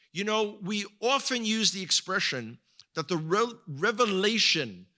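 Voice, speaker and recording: A man's raised, projected voice with an American accent, high-pitched and bright and sharp in tone, in a very clean recording with a silent background. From US, New York (the Bronx). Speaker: guest speaker and tour guide. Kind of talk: sermon-style talk to a congregation. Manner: halting, with frequent word repetitions.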